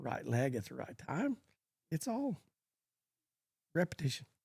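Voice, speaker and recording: This man talks at a moderate pace with an American accent, his voice somewhat breathy in a dry, close sound with no echo. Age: 70s. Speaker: cutting horse trainer. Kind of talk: podcast interview.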